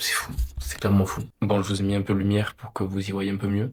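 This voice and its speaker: Soft-spoken and somewhat breathy, a man keeps a fairly low pitch with fairly even intonation. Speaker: vlogger. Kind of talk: personal vlog.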